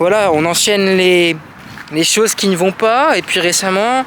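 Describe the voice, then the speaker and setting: There is noticeable background noise behind this man. He speaks at a fairly slow pace with a high pitch and ordinary pitch variation. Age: 20s. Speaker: vlogger. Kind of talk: personal vlog monologue. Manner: hesitant, with fillers and repetitions.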